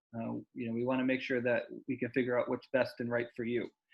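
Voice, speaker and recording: Talking at a fairly quick pace, a man keeps a medium pitch and a monotone, flat intonation. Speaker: senior center staff. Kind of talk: community meeting updates. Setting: video call. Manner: fast.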